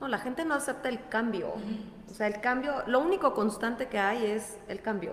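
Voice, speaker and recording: High in pitch, a woman's voice moves with ordinary pitch variation. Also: moderate pace. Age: 40s. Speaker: wellness coach. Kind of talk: casual chat.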